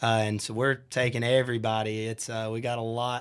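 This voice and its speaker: Southern US accent from a man, very clean recording and silent background. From US South, Shelby, North Carolina. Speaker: country band singer. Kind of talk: casual interview. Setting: studio.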